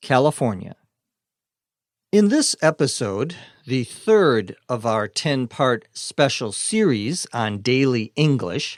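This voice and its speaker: A man with an American accent speaks very slowly at a medium pitch, with very wide pitch swings. The sound is dry and close with no echo, on a very clean recording with a silent background. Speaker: English teacher. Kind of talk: slow educational podcast for English learners. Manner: slow, clear.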